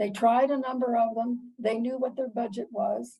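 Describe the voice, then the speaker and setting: The voice has a dark, mellow tone, somewhat breathy, with monotone, flat intonation at a fairly slow pace. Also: woman. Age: 80s+. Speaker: piano teacher. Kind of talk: interview answer, personal storytelling.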